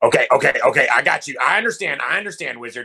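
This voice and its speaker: A man performs in a put-on character voice at a very fast pace. His loudness swings widely. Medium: actual play. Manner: brash, goofy.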